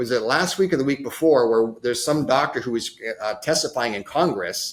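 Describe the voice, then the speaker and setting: An American-accented man speaks at a moderate pace in an animated tone. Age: 60s. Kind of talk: podcast interview, casual chat. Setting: podcast.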